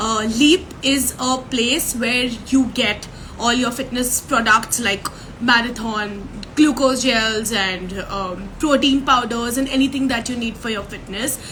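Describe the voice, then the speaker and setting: Amid noticeable background noise and audible room echo, a woman with a high voice speaks fairly slowly with fairly even intonation. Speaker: podcast host. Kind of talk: interview.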